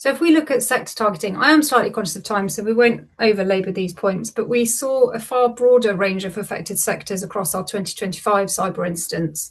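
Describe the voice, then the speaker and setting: Speaking with a British accent, a woman has a medium pitch and a somewhat breathy voice. She talks at a fairly quick pace with ordinary pitch variation. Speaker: lawyer presenting cyber incident data. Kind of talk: webinar presentation.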